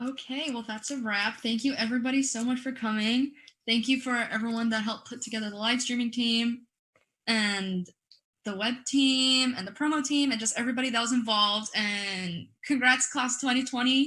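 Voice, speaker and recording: A woman speaks loudly at a moderate pace in a high, bright, sharp voice with fairly even intonation. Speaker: livestream event host. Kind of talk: closing remarks.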